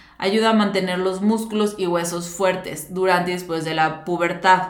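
Speaking at a moderate pace and medium pitch, a woman is heard with audible room echo and noticeable background noise. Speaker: nutritionist podcast host. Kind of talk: solo educational talk.

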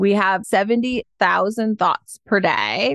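A woman talks in an unremarkable speaking voice, fairly high, with an American accent and ordinary pitch variation. The sound is dry and close with no echo. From US Midwest, Detroit, Michigan. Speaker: happiness coach. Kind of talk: podcast interview.

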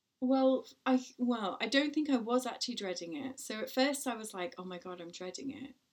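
Speaking with an English accent, a woman's high voice moves with lively intonation and big swings in loudness. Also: moderate pace. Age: 40s. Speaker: podcast host and parenting blogger. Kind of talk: casual chat.

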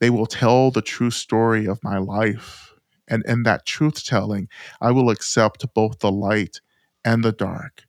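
On a very clean recording with a silent background and a dry, close sound with no echo, a man with an American accent and a normal speaking voice talks at a fairly slow pace in a medium pitch. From US South. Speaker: Buddhist teacher and author. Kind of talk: interview conversation.

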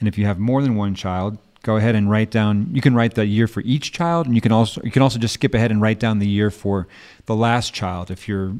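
A man with an unremarkable speaking voice talks at a fairly low pitch and a fairly quick pace, his intonation fairly even, on a very clean recording with a silent background. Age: 50s. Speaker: podcast host, life coach. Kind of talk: casual chat.

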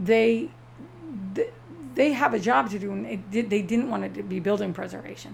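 An animated tone at a moderate pace, broken by long, frequent pauses. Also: woman. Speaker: lighthouse site manager. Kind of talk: casual chat.

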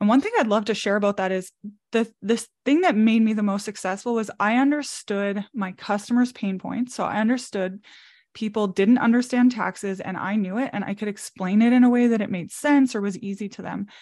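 A woman with a Canadian accent has an ordinary speaking voice at a fairly high pitch. She talks at a fairly quick pace with ordinary pitch variation against a quiet background. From Canada, Manitoba (Brandon). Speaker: entrepreneur. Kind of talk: casual chat.

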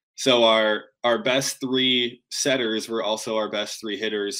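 With an American accent, a man speaks in a bright, sharp tone and fairly even intonation on a very clean recording with a silent background. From Michigan, Grand Rapids. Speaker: beach volleyball player and coach. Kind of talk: casual interview. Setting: hotel room on a road trip, live stream.

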